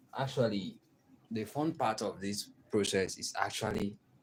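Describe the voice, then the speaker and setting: The speaker has a Nigerian accent and talks at a fairly slow pace. Pitch variation is ordinary. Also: man. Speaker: artist. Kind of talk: tutorial. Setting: live stream.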